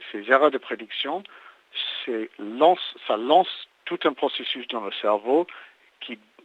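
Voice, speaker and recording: The speaker has a slight English accent. The intonation is lively. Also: man. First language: English (speaking French). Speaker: neuroscience researcher. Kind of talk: interview. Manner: halting, many repetitions and hesitations.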